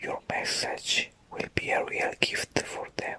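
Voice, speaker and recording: Over noticeable background noise, the speaker whispers very slowly. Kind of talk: ASMR whispered talk about new year intentions. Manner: whispered, soft.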